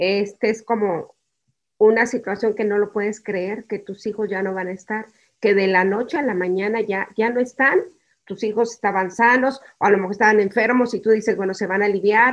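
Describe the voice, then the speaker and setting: Speaking at a moderate pace with fairly even intonation, a woman has an unremarkable speaking voice at a medium pitch. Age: 60s. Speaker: bereaved mother. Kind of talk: testimony.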